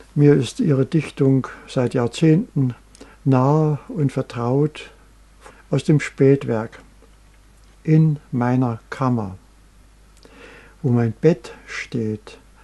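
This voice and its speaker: A man speaks very slowly, with long, frequent pauses. His tone is dark and mellow, and his pitch varies in an ordinary way. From East Germany. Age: 80s+. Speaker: painter. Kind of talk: interview answer.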